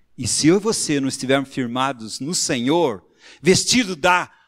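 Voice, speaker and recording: A man speaking at a fairly slow pace on a very clean recording with a silent background. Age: 60s. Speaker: preacher. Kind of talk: sermon.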